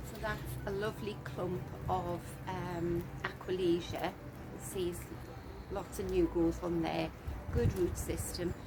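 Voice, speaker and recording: A soft-spoken woman at a very slow pace with long, frequent pauses, noticeable background noise and audible room echo. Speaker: gardening vlogger. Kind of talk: casual garden walkthrough. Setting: outdoors in garden.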